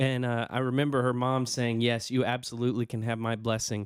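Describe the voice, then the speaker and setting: A man talks in a Southern US accent at medium pitch. The recording is very clean, the background silent. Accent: Southern American. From US South. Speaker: podcast co-host. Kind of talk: casual chat. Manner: halting.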